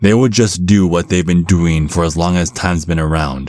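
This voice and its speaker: Gruff and very deep, a man's voice comes through in a put-on character voice. He speaks at a moderate pace. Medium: solo performance. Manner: gruff, blunt.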